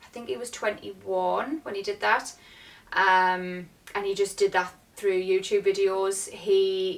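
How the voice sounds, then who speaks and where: Speaking in a northeast English accent, a woman keeps a medium pitch, fairly even intonation and a fairly slow pace. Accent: northeast English, noticeable. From northeast England, near Durham. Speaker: vlogger. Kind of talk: casual Q&A vlog.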